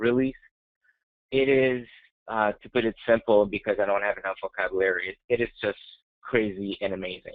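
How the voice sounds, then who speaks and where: Moderate-paced speech with fairly even intonation, a dry sound with no echo and a quiet background. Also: man. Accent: French-Canadian. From Quebec, Montreal. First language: French. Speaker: software technical specialist; presenter. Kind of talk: webinar presentation. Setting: online webinar. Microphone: webcam.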